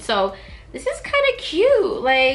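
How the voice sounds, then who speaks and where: The pitch swings very widely throughout. Noticeable background noise runs underneath. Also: woman. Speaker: beauty YouTuber. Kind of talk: casual haul video. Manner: animated.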